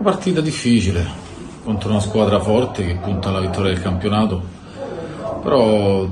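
Noticeable background noise can be heard as a man talks. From Rome. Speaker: football coach. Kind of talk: interview. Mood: calm, measured. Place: meeting room.

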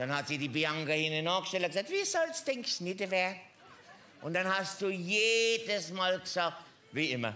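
A man speaks in a raised, projected voice at a moderate pace with ordinary pitch variation. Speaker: comedian in a construction-worker costume. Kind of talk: stand-up comedy monologue. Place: stage.

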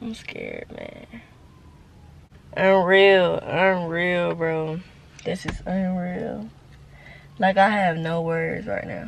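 Speaking at a very slow pace, a woman leaves long, frequent pauses and makes big swings in loudness against light background noise. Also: dry sound with no echo. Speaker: student vlogger. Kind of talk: casual vlog chat. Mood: nervous, emotional. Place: car. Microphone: phone near.

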